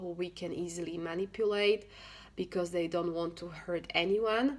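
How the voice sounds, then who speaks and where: Her intonation fairly even, a woman talks at a fairly slow pace with a fairly low pitch. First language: not English. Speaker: self-help vlogger, single mother. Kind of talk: casual talk to camera, advice. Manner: halting, with frequent fillers and restarts.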